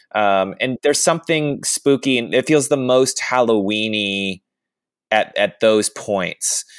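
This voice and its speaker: A man with an American accent speaks fairly slowly at medium pitch with ordinary pitch variation, a plain, everyday voice. The sound is dry and close with no echo, in a very clean recording with a silent background. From US South. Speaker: actor and podcast host. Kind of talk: casual chat.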